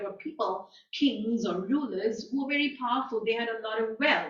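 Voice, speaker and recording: Amid audible room echo, a woman talks at a fairly quick pace with a fairly high pitch. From India, New Delhi. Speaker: guest lecturer. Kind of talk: lecture.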